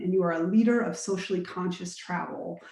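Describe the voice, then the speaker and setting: A woman with an American accent, medium pitch, ordinary pitch variation, and a normal speaking voice. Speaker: nonprofit director and panel moderator. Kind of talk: panel moderation, introducing guests. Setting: Zoom webinar. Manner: casual, with frequent fillers.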